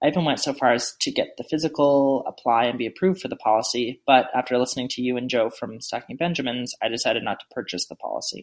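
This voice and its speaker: A man talks at a very fast pace with hardly any pauses, at a medium pitch and with ordinary pitch variation. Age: 30s. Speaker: listener asking a question. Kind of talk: reading aloud.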